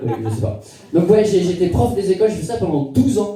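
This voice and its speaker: With noticeable background noise and audible room echo, a man speaks in very wide pitch swings. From western France (Niort). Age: 30s. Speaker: comedian. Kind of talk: stand-up. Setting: stage with audience. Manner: halting.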